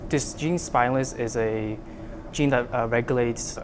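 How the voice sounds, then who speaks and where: Noticeable background noise sits behind a man speaking at medium pitch with fairly even intonation. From Vietnam. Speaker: undergraduate student researcher. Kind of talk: interview. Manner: halting, many fillers.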